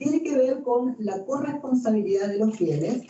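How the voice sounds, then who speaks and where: In an Argentine accent, a woman speaks at a high pitch and fairly slow pace with lively intonation, with audible room echo. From Argentina. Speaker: canon lawyer and professor. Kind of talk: lecture. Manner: hesitant fillers, conversational.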